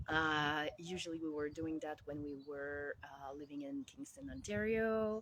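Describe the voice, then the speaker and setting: At a very slow pace, a woman speaks in a Quebec accent with a very deep, low pitch and ordinary pitch variation. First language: French. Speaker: life coach. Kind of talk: casual vlog monologue. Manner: halting, many fillers.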